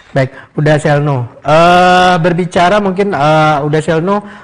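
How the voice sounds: A man speaks at a fairly slow pace with fairly high pitch and fairly even intonation.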